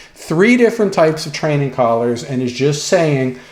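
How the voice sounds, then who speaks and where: A man with a fairly high pitch speaks at a moderate pace, with noticeable background noise and audible room echo. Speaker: dog trainer. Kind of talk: lecture. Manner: hesitant, with fillers.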